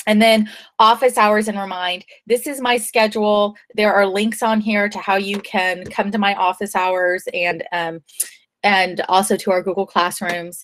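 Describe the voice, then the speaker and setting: A woman at medium pitch speaks at a fairly slow pace with fairly even intonation in an ordinary speaking voice. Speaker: high school teacher. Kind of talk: online class lesson.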